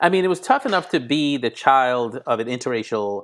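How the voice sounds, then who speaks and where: A man talks with lively intonation at a medium pitch. His is an unremarkable speaking voice, heard in a very clean recording with a silent background. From Grenada and Brooklyn, New York. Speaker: criminal justice reform advocate. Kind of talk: interview.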